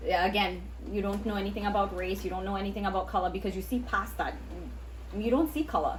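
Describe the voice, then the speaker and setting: Very fast speech from a woman in a room with audible echo. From Trinidad. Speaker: podcast co-host. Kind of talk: casual chat.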